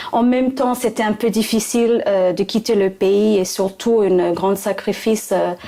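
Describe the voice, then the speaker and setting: With a slight English accent, a woman talks in a fairly high pitch, barely pausing and keeping her loudness very even. Her intonation stays fairly even, and background noise is noticeable. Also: moderate pace. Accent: slight English-speaking accent in French. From Pacific, raised in Fiji and Australia. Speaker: trainee delegate, former interpreter. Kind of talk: career interview testimony. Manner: hesitant, many fillers.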